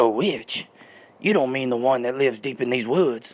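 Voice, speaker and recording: In a raspy put-on character voice, the speaker moves at a moderate pace with ordinary pitch variation. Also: man, medium pitch for a man. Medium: read story.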